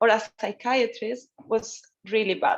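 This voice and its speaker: A woman with a non-native accent talks at a fairly high pitch in a monotone, flat intonation. The background is quiet. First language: not English. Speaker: conference panelist sharing mental health experience. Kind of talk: personal testimony. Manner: halting, with fillers.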